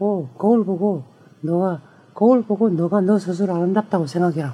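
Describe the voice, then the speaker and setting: A man speaks in a high pitch and at a fairly quick pace. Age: 50s. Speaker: ballet dancer. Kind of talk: casual chat.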